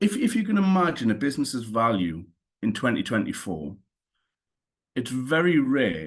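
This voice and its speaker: A man with a Newcastle accent, very wide pitch swings and a moderate pace, against a quiet background. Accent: Newcastle (Geordie). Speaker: cyber insurance claims specialist. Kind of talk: webinar presentation.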